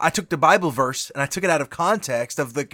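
In a very clean recording with a silent background, a man speaks with a fairly high pitch, a bright, sharp tone, and lively intonation. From rural cattle farm upbringing. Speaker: devotional podcast host, preacher. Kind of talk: daily devotional talk. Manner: casual, with many fillers.

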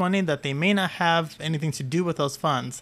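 Here a man speaks in a high pitch. His pitch variation is ordinary. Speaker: podcast co-host. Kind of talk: casual chat. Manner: quieter than co-host.

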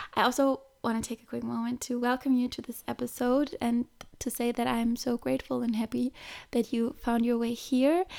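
Her pitch is high and her intonation fairly even. The woman speaks at a moderate pace. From Germany. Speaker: yoga teacher. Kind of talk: casual solo podcast talk on mindfulness and personal growth. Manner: conversational with filler hesitations and self-corrections.

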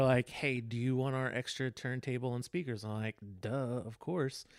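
With an American accent, a man in a medium pitch and an unremarkable speaking voice talks at a moderate pace on a very clean recording with a silent background. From Texas. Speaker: photographer and former TV news director. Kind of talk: casual chat.

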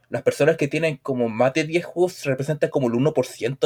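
A man in a Chilean accent, fairly high in pitch, at a moderate pace with fairly even intonation, in a dry, close sound with no echo. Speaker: video game podcast co-host. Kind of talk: casual chat.

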